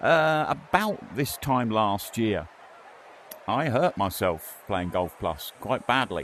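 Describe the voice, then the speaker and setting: With an English accent, a man speaks at a very slow pace in a medium pitch, his pitch swinging very widely. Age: 60s. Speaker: VR gaming YouTuber. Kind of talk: gameplay commentary. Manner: casual, rambling with hesitations.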